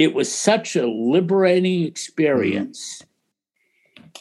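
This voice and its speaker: This man speaks with a General American accent. His pace is very slow. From US Midwest (Ohio). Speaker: film producer and studio executive. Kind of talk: interview conversation.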